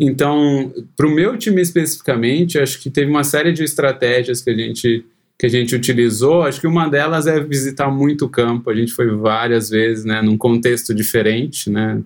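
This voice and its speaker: At a fairly quick pace, a man speaks in a plain, everyday voice at a medium pitch. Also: ordinary pitch variation. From interior of São Paulo state, Brazil (Cosmópolis). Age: 30s. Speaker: software engineer. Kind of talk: casual interview.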